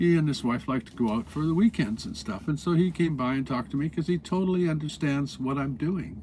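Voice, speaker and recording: Fairly high-pitched for a man, this voice has a dark, mellow tone and is somewhat breathy. He talks at a fairly quick pace with lively intonation and hardly any pauses. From Canada. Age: 70s. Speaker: vanlife vlogger. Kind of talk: casual vlog monologue. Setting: in a parked bus. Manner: halting, with frequent fillers.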